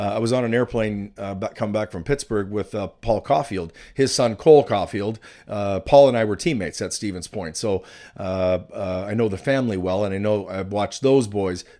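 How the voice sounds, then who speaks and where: A man with a western Canadian accent, fairly low in pitch with a dark, mellow tone, moderate pace and ordinary pitch variation. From western Canada, British Columbia. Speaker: college hockey coach. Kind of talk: interview. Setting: studio.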